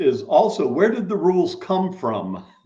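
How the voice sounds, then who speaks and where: At a moderate pace, a man with an American accent talks over audible room echo. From US South, Miami, Florida. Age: 70s. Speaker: wine expert. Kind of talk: interview. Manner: halting, many repetitions.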